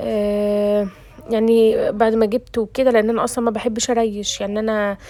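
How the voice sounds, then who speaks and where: The voice is monotone, with flat intonation and a fairly slow pace. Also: woman. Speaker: cooking vlogger. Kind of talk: casual cooking vlog. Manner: casual and chatty.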